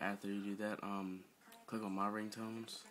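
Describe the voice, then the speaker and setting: A fairly low-pitched male voice with monotone, flat intonation. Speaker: tech tutorial youtuber. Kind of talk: tutorial. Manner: hesitant, many fillers.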